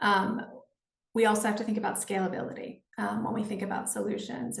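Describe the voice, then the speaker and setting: Audible room echo surrounds a woman speaking at a moderate pace. Her pitch is medium and her intonation fairly even. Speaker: nonprofit executive director. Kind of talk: panel discussion. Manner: hesitant, many fillers.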